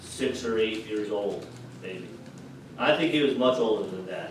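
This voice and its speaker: Noticeable background noise and audible room echo fill the recording. A man speaks through it at a moderate pace. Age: 60s. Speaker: pastor. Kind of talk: sermon. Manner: conversational.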